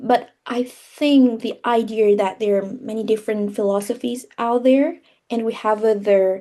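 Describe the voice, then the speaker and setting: Fairly slow speech from a woman in a Vietnamese accent, fairly high in pitch, with a dark, mellow tone and fairly even intonation. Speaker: English teacher. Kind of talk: interview. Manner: halting.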